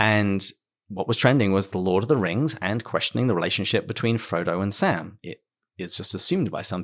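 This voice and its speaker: In a British accent, a man speaks at a moderate pace at a fairly low pitch with ordinary pitch variation, in a dry, close sound with no echo. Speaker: podcast host. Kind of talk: podcast interview.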